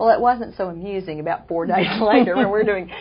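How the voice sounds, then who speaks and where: Talking very fast with lively intonation, a woman with a Southern US accent speaks at a medium pitch over noticeable background noise. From Oklahoma. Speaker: author and TV interview host. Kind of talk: interview.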